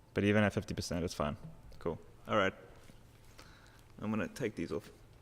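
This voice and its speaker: At a very fast pace, a man speaks in a fairly low voice with ordinary pitch variation. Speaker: digital painter streaming live. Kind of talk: live stream commentary while painting.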